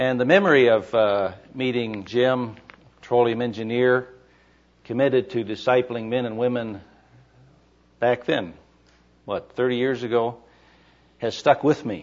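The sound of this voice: A man at medium pitch, fairly slow, with long, frequent pauses and ordinary pitch variation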